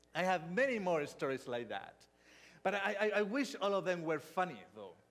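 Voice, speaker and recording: A man with a Spanish accent speaks at a high pitch, with ordinary pitch variation. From Spain. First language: not English (third language). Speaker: pastor. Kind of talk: sermon. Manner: halting.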